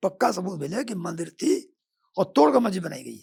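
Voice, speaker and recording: High in pitch, a man's voice makes very wide pitch swings. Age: 70s. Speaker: lawyer. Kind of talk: podcast interview.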